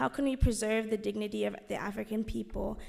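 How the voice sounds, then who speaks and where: A woman speaking at a fairly quick pace. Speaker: student asking a question. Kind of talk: audience question. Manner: halting.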